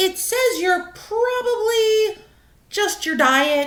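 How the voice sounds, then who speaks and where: In a put-on character voice, a woman squeaks out her words at an extremely high pitch, very slowly, with lively intonation. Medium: read story. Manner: stammering, nervous.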